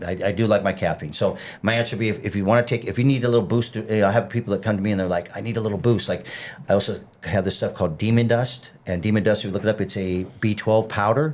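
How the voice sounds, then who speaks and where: Fairly even intonation at a very fast pace. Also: man, fairly low pitch for a man. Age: 50s. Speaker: fitness trainer. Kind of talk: casual chat.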